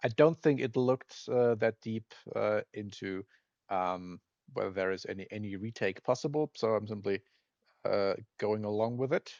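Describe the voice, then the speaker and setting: Over a quiet background, a man with a non-native accent speaks at a moderate pace in a fairly low pitch with ordinary pitch variation, the sound dry and close with no echo. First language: not English. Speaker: retro game developer playing games. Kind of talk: let's play commentary. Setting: screen recording of emulator. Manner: halting, many fillers; casual.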